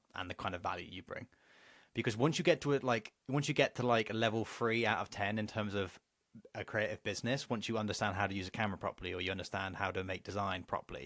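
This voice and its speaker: Very fast and at a fairly low pitch, a man speaks with ordinary pitch variation in a dry, close sound with no echo. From England. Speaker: business coach. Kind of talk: online course lecture. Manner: casual.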